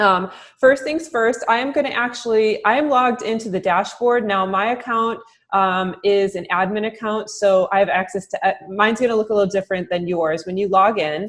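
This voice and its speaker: In a normal speaking voice, a woman talks at a fairly high pitch and a fairly quick pace with ordinary pitch variation, against a quiet background. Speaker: marketing director training real estate agents; trainer for real estate agents. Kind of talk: recorded software training webinar. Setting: closed room, recorded Zoom webinar. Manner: many filler words (um, uh). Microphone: webcam.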